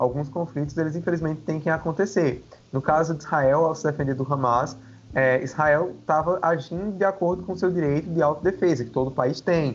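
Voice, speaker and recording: Speaking fairly quickly, a man with an ordinary speaking voice uses a fairly high pitch and ordinary pitch variation. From Brazil, Paraíba (Campina Grande). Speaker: political science researcher. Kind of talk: interview on religion and international politics.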